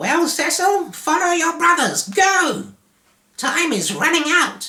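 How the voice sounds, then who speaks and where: A man in a put-on character voice sounds squeaky, with an extremely high pitch and a fairly slow pace. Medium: read story. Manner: folksy, blunt.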